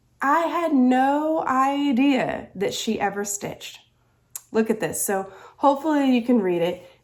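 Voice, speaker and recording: A woman with a Southern US accent, high-pitched and lively in intonation, at a fairly slow pace. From US South. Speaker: crafting vlogger. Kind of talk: casual chat.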